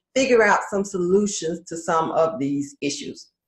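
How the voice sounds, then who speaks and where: A woman speaks at a moderate pace. Her voice is somewhat breathy, with lively intonation. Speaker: career coach and podcast host. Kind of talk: live stream talk.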